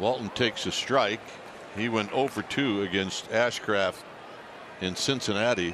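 Pausing long and often, a man speaks at a fairly slow pace with a fairly low pitch and fairly even intonation. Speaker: baseball play-by-play announcer. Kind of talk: live sports commentary, TV play-by-play. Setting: TV broadcast from ballpark. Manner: brisk, conversational, scene-setting.

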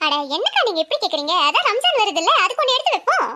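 A woman's put-on, squeaky character voice, extremely high in pitch and very fast. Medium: comedy sketch. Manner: coaxing, chatty.

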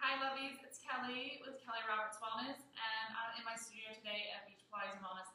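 A woman talks at a fairly quick pace with ordinary pitch variation. There is audible room echo and light background noise. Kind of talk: tutorial. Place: gym. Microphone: camera far.

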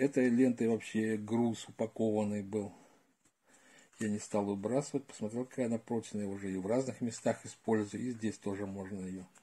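His voice fairly low in pitch, a man speaks with a dark, mellow tone and fairly even intonation. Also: moderate pace. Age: old. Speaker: retired gardener, video blogger; video blogger. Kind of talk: tutorial. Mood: calm, practical. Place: home room. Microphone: phone near.

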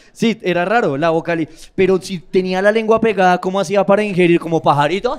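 Ordinary pitch movement in a high male voice. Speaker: roast master of ceremonies. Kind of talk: host banter, introductions. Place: stage. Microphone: handheld.

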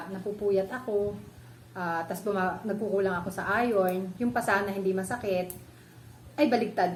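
A woman's medium-pitched voice at a moderate pace, with audible echo from the room. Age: 40s. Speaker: vlogger. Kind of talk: tutorial. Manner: casual, halting with fillers.

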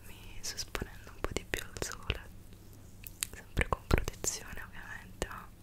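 Whispering in a gentle tone at a moderate pace. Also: woman. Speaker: beauty content creator. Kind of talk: soft-spoken ASMR-style skincare tutorial. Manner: gentle whispered chatter to the mic. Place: home room.

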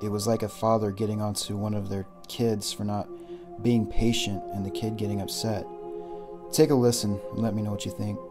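A man's fairly low voice at a fairly quick pace, with music in the background. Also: ordinary pitch variation. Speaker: paranormal investigator narrator. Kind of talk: documentary narration.

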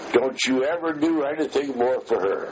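With noticeable noise in the background, a man keeps to a moderate pace. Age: 80s+. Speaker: war veteran. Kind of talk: oral history interview. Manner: halting.

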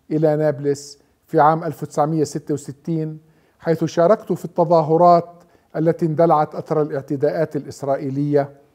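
A man's fairly high voice with a dark, mellow tone, a fairly slow pace and a quiet background. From Palestine, Nablus; Palestine. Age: 60s. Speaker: author and researcher. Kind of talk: scripted narration. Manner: measured, with pauses. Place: home room. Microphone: lapel.

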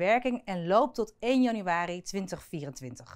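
A woman's very slow speech with very wide pitch swings, over a quiet background. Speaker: news presenter. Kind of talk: news presentation. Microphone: lapel.

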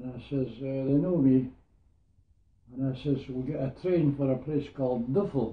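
A somewhat breathy man with a Scottish Borders accent, fairly even intonation and long, frequent pauses, amid audible room echo. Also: moderate pace. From Scotland, Hawick in the Borders; Scotland. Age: 90s. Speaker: war veteran. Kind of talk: interview storytelling. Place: home room. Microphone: camera far.

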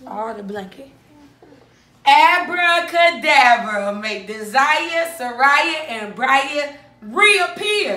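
The voice is raised and projected, with audible room echo and big swings in loudness. It moves at a very slow pace with very wide pitch swings. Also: woman, high pitch for a woman. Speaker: family YouTuber. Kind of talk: prank video. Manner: animated. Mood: playful, teasing. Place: home room. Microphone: phone near.

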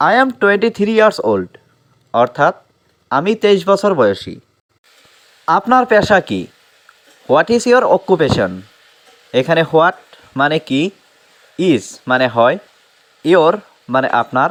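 In a dry, close sound with no echo, a man's high voice swings very widely in pitch. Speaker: English teacher. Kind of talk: tutorial.

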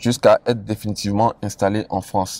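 A man at a moderate pace, recorded dry with no echo. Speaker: investment advice creator. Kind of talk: casual vlog chat. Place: car.

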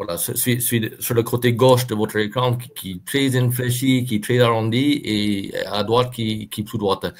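Speech moves at a fairly slow pace with hardly any pauses and fairly even intonation. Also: man, medium pitch for a man. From southwest France, Montauban. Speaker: farrier. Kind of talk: technical presentation. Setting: video call.

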